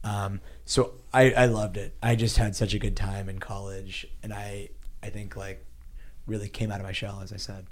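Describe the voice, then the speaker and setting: The speaker has an American accent and a somewhat breathy voice at a moderate pace, with fairly even intonation. The loudness swings widely, and there is audible room echo. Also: man, fairly low pitch for a man. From US, Pittsburgh, Pennsylvania. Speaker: startup investor. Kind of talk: interview. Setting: office.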